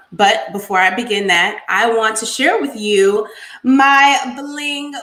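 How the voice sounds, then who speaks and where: Over noticeable background noise, a woman speaks with lively intonation and an upbeat tone. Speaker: interviewer, show host. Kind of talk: interview host talk.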